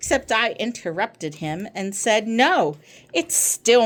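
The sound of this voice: Unforced reading voice, nothing more.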